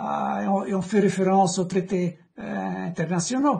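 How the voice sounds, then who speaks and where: With a non-native accent, this speaker goes along at a fairly slow speed. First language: not French (speaking French). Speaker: economist interviewing an author. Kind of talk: book discussion interview. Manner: halting, many repetitions.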